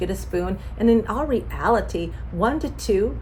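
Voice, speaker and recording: A woman is speaking in a space with audible room echo. Noticeable background noise is present. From Mexican heritage. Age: 60s. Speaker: nutritionist. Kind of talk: health talk. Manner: casual, conversational.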